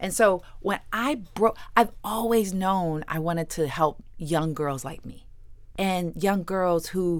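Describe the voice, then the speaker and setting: An unremarkable speaking voice from a woman with an American accent, fairly low pitch and ordinary pitch variation. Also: very clean recording, silent background. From US Midwest, Ohio. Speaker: attorney and author. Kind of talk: interview.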